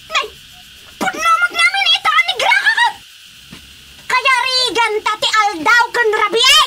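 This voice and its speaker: Delivered in a put-on character voice at a fairly slow pace, the speech has long, frequent pauses and light background noise. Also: woman, extremely high pitch for a woman. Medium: audio drama. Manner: loud, abrasive.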